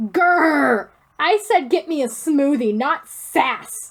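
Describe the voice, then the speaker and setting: A woman growls through a put-on character voice, high-pitched with very wide pitch swings. She speaks at a very slow pace. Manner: frustrated, growling.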